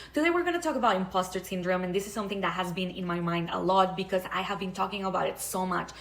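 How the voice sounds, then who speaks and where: Speaking at a very fast pace with hardly any pauses, a woman with a non-native accent holds a medium pitch and fairly even intonation. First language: not English. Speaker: online creator, public speaker. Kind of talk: vlog monologue.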